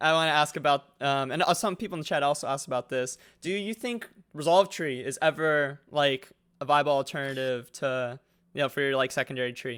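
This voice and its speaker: A man at fairly high pitch and a fairly quick pace, with ordinary pitch variation, in a very clean recording over a silent background. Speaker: gaming podcast host. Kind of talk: casual chat.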